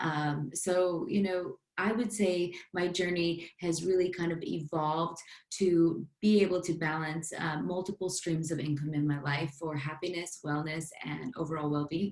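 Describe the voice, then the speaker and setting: A woman with a plain, everyday voice speaks at a fairly low pitch. Her intonation is fairly even and her pace moderate. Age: 30s. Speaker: business coach and fitness influencer. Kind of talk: casual chat.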